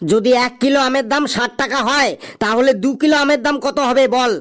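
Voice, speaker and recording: In a cartoonish character voice, a man speaks at an extremely high pitch and a moderate pace, with fairly even intonation. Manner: wily, teasing.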